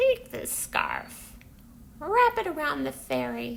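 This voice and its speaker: A woman uses a put-on character voice at a very slow pace. Background noise is clearly heard. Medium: read story.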